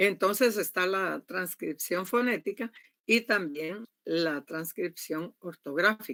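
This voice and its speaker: A woman's medium-pitched voice with a bright, sharp tone and lively intonation at a very slow pace, dry and close with no echo. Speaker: university lecturer. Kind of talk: online class lecture. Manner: loud.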